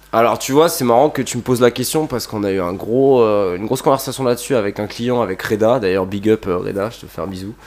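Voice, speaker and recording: At a very fast pace and with hardly any pauses, a man speaks at a medium pitch with ordinary pitch variation. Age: 20s. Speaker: skate shop employee and skateboarder. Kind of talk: casual chat.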